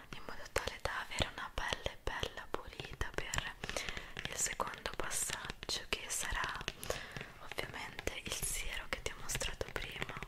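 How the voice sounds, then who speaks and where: A woman whispers at a fairly slow pace in a calm tone, with long, frequent pauses. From Italy. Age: 20s. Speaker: ASMR creator. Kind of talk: ASMR skincare roleplay. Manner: soft-spoken, calm. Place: home room. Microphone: studio mic.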